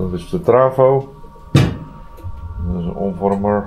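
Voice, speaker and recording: A man speaks at a fairly low pitch with lively intonation. Light background noise can be heard. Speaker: yacht vlogger refitting boat. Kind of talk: casual vlog chat. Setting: outdoors at marina. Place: boat. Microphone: phone near.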